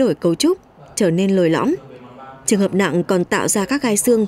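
A woman talks at a fairly quick pace, her pitch swinging very widely. Noticeable background noise sits behind her. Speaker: TV reporter. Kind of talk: scripted narration.

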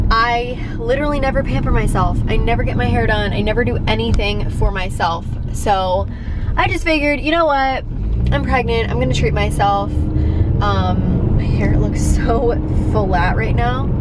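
Loud background noise surrounds a woman speaking at a moderate pace. Her voice is dry, with no echo. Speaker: vlogger. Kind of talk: casual vlog chat. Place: car. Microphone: phone near.

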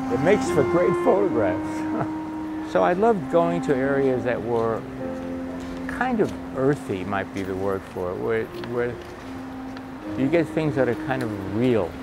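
Over music in the background, a man with an American accent talks at a fairly slow pace, his pitch swinging very widely, with long, frequent pauses. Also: medium pitch for a man. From New York City, Lower East Side. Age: 80s+. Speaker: hairdresser and street photographer. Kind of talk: casual talk while photographing on the street. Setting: outdoors.

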